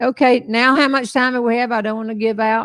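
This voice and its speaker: A woman with a Southern US accent, ordinary pitch variation, a dry, close sound with no echo and a quiet background. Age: 70s. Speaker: humorist and live show host. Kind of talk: casual chat. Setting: live stream from back porch.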